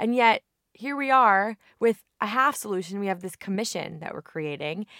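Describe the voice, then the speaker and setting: Over a very clean recording with a silent background and a dry, close sound with no echo, a woman with an American accent speaks at medium pitch in an animated, bright, sharp tone with ordinary pitch variation. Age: 30s. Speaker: state senator. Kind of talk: interview.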